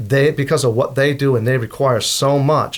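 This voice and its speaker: Medium-pitched man's voice at a moderate pace with fairly even intonation. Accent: East Coast US. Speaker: safety consultant. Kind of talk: interview answer.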